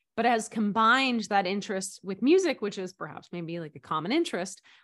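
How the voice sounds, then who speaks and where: A woman with a plain, everyday voice talks at a fairly quick pace, her medium pitch showing ordinary variation over a quiet background. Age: 30s. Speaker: college admissions consultant. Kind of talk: interview.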